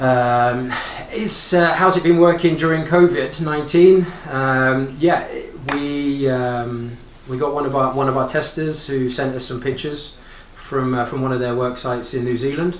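Amid noticeable background noise and audible room echo, a man with a British accent and fairly high pitch speaks at a moderate pace with ordinary pitch variation. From UK. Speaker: arborist and app founder. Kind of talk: interview. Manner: halting.

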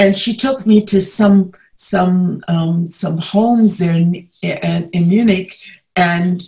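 A somewhat breathy woman with an American accent, very slow in pace, with fairly even intonation. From US South, Atlanta. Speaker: civil rights movement figure. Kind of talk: interview. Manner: halting.

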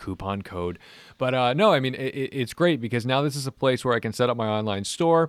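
A man with an ordinary speaking voice, medium pitch, lively intonation and a fairly quick pace, on a very clean recording with a silent background. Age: 30s. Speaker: car podcast host and YouTuber. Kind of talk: casual chat.

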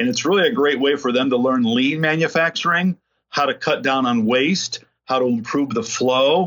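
An unremarkable speaking voice moves at a moderate pace with lively intonation. Its loudness stays very even. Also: man, fairly high pitch for a man. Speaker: corporate community engagement director. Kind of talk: interview.

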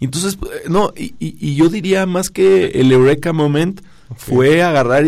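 Speaking at a very slow pace, a man uses ordinary pitch variation. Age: 30s. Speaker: startup founder and CEO. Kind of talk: radio interview. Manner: energetic.

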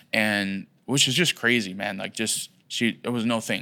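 A man's fairly low voice, bright and sharp in tone with vocal fry and fairly even intonation, comes through in a very clean recording with a silent background. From Puerto Rico, raised in Philadelphia. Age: 20s. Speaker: pastor. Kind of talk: testimony.

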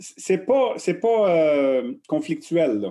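A man with lively intonation. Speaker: coaching researcher. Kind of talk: interview. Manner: halting, repeats words.

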